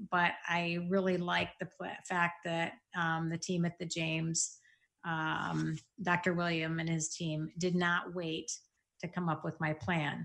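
In a very clean recording with a silent background, a woman with a Midwestern American accent talks very slowly in a flat monotone at fairly low pitch. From Michigan, US Midwest. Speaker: bank executive and cancer patient. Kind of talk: interview testimony. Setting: at her desk.

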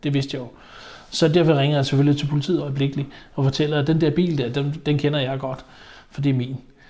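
Very fast, somewhat breathy speech from a man, fairly high in pitch with a dark, mellow tone. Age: 50s. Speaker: haulage business owner. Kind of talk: interview testimony. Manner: hesitant, many fillers.

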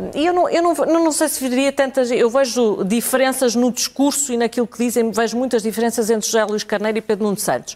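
Against noticeable background noise, a woman with a high pitch talks very fast with hardly any pauses. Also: ordinary pitch variation. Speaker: political commentator. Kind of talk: televised political debate.

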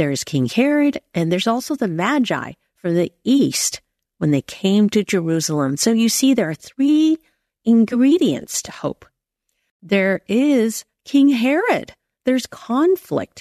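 A woman speaks fairly slowly in a calm, soothing, dark and mellow tone, fairly high in pitch with very wide swings. The sound is dry and close with no echo, over a quiet background. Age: 50s. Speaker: podcast host and faith author. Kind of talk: guided devotional reflection.

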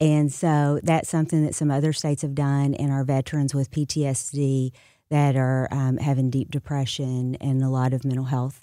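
At a moderate pace, a woman with a Southern US accent speaks in a monotone, flat intonation, her very deep, low pitch and dark, mellow tone coming through in a very clean recording with a silent background. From US South, moved widely (Memphis, Dallas, California to Florida). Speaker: state senator and political candidate. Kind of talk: radio interview. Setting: studio.

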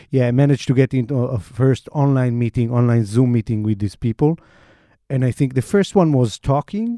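This man speaks with an Israeli accent. The background is quiet. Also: medium pitch for a man, ordinary pitch variation. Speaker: investigative reporter. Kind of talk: interview. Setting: studio.

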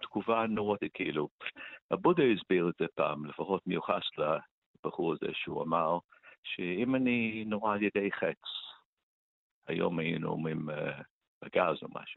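This man has a non-native accent and talks at a fairly slow pace. He leaves long, frequent pauses. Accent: foreign accent in Hebrew. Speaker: author of a meditation book. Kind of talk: radio interview.

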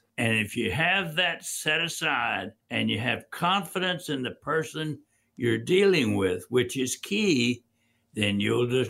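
A man with a Louisiana accent, a bright, sharp tone and vocal fry, at a very slow pace. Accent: US South, Louisiana. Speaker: financial firm founder. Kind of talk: radio talk show.

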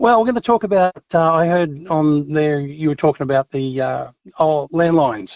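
A man speaks with an Australian accent at a moderate pace. His intonation is lively. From Australia, Brisbane. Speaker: truck driver caller. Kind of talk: talkback call. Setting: phone call.

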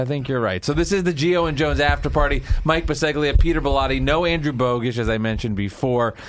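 This man has an ordinary speaking voice, fairly high in pitch with ordinary pitch variation, and talks at a fairly quick pace. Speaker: podcast host. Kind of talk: casual chat. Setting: studio.

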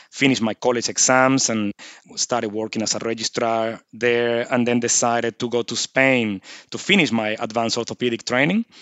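At a fairly quick pace, a man with a Venezuelan accent talks at medium pitch with fairly even intonation. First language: Spanish. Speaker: surgeon. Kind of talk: interview.

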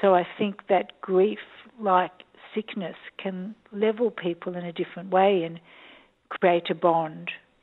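Woman with an Australian accent, medium pitch, fairly slow pace, monotone, flat intonation and long, frequent pauses. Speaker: documentary director and psychologist. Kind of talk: interview. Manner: hesitant, many ums.

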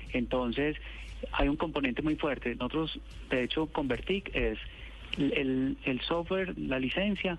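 A man speaks at a fairly slow pace. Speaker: government technology official. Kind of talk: phone interview. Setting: phone call.

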